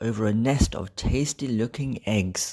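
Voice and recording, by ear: The voice has lively intonation and a slightly mellow tone. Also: man.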